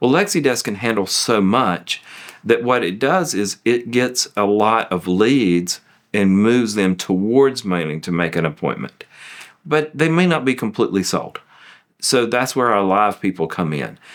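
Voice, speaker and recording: Speaking in a Southern US accent, a man with a fairly low pitch keeps a moderate pace and lively intonation. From US South. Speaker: law firm managing partner. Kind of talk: testimonial interview.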